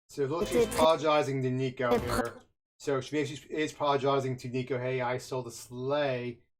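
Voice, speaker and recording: Music plays in the background as a man talks at a fairly quick pace. His intonation is monotone and flat. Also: medium pitch for a man. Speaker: youtuber reacting to a movie trailer. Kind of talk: trailer commentary. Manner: halting, many repetitions and fillers.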